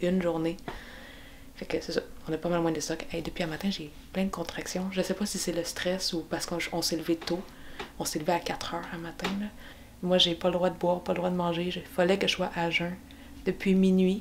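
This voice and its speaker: A woman talks at a fairly quick pace with fairly low pitch. Her intonation is monotone and flat, over light background noise. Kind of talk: casual vlog chat.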